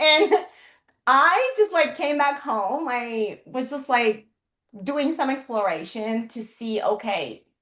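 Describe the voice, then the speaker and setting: A woman's bright, sharp, high-pitched voice with a Persian accent, very wide pitch swings and a very slow pace. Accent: Persian (Iranian) accent in English. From Iran. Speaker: HR professional and startup consultant. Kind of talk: interview on a livestream.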